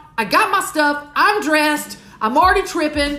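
Very wide pitch swings and an animated tone amid audible room echo and noticeable background noise. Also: woman. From US South, Southeast Houston, Texas. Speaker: podcast host, recovery mentor. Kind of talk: motivational monologue.

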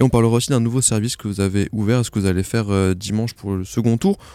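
At a fast pace, a man talks with fairly even intonation, a fairly low pitch and a dark, mellow tone.

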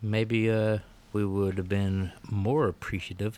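With a Southern US accent, a man talks at a fairly slow pace with fairly even intonation. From Alabama. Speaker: podcast co-host, music reviewer. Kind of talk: casual chat.

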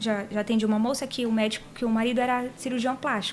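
A woman's high voice with fairly even intonation, over noticeable background noise. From Paraná, Brazil. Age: 30s. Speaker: body piercer and physiotherapist. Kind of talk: casual chat. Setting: studio.

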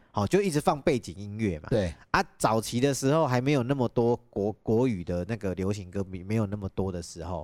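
A man speaks at a fairly quick pace with hardly any pauses and a fairly low pitch. His intonation is lively, and the sound is dry and close with no echo. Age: 30s. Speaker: podcast host. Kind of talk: casual chat. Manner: animated.

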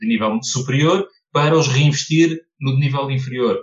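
A man talks in a medium-pitched voice. It sounds somewhat breathy. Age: 30s. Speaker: personal finance content creator. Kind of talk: podcast interview.

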